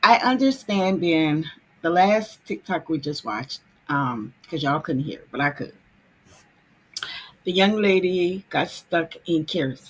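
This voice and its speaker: At a fairly slow pace with long, frequent pauses, a woman speaks at a fairly low pitch with lively intonation. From US South, New Orleans. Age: 50s. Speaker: travel vlogger. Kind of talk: casual livestream chat.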